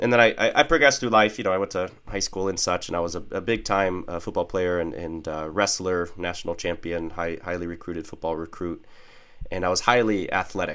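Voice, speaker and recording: With an American accent, a man speaks fairly quickly in a very deep, low voice with ordinary pitch variation. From US Midwest. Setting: video call.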